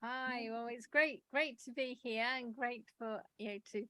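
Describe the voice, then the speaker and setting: A woman with an English accent and a high, bright, sharp voice speaks at a fairly slow pace with fairly even intonation. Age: 60s. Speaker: publisher and writer. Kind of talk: interview.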